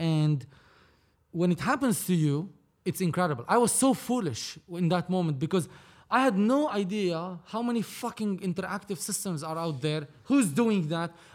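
Lively intonation marks speech delivered at a moderate pace. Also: man, high pitch for a man. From Lebanon. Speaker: film producer. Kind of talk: casual chat.

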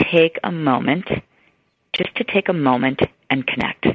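The accent is American. The speaker is female. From US Midwest, Chicago. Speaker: neurologist. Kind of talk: interview.

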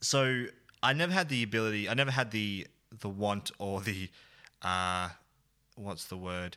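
Using an Australian accent, a man with a fairly low pitch, ordinary pitch variation and a bright, sharp tone speaks at a moderate pace with long, frequent pauses. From Australia, central Victoria (Bendigo). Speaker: video producer and creative director. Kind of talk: casual chat. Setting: video call.

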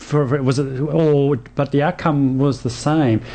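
A man with an Australian accent speaks very slowly at a fairly high pitch. His intonation is fairly even, and background noise is noticeable. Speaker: radio host. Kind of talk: radio talk show. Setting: studio.

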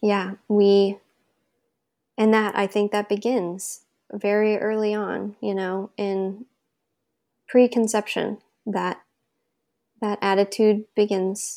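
A woman's medium-pitched voice with a dark, mellow tone, monotone, flat intonation, a very slow pace and long, frequent pauses, on a very clean recording with a silent background. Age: 20s. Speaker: new mother telling her birth story. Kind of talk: casual interview, personal story. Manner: many fillers and laughs.

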